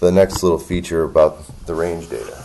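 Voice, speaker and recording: Amid noticeable background noise, a man talks with ordinary pitch variation. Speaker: golf equipment reviewer. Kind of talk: product demonstration. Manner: halting, many fillers.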